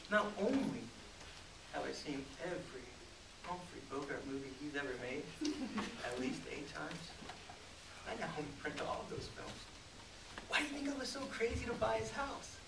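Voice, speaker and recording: Amid noticeable background noise, a man speaks at a moderate pace with long, frequent pauses. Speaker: actor in a stage scene. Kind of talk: theatrical comic monologue in character. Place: stage. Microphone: camera far.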